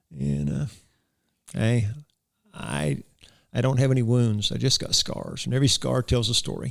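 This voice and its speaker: In a rural Florida accent, a man at a medium pitch talks at a moderate pace, with very wide pitch swings and long, frequent pauses. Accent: US Southern, rural Florida. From Florida, Hardee County. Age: 60s. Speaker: cowboy church preacher. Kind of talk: interview. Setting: studio. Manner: animated.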